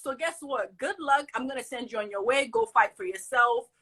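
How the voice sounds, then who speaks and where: Lively intonation in a raised, projected voice at a fairly quick pace. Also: woman. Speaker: college student, social media creator. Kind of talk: casual chat. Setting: live video stream. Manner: animated; loud.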